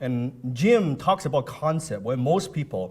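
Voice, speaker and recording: A man with a non-native accent sounds animated, with lively intonation. His voice is medium in pitch and somewhat breathy. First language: not English. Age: 30s. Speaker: motivational speaker. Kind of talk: motivational seminar talk.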